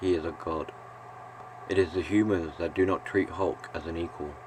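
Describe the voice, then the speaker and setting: A soft-spoken man with a very deep, low pitch talks at a moderate pace with fairly even intonation over noticeable background noise. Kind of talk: reflective video essay narration. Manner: calm, soft-spoken; monotone.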